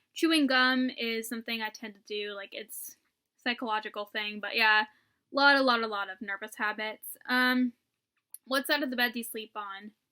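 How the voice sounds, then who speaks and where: Recorded dry and close with no echo in a very clean recording with a silent background, a woman with a fairly high pitch and a bright, sharp tone speaks at a moderate pace with fairly even intonation and big swings in loudness. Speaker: YouTuber. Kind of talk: casual vlog chat. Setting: at home. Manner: casual, filler-heavy.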